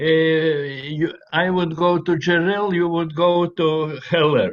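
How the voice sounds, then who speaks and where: Speaking very slowly in a high pitch, a man keeps a monotone, flat intonation and very even loudness. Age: 80s+. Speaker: artist. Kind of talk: casual interview over video call. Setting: video call. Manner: broken English.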